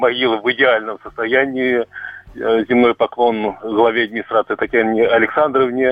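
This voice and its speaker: A man's medium-pitched, monotone, flat delivery at a moderate pace, very even in loudness, over noticeable background noise. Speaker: caller. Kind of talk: testimony. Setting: phone call. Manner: halting.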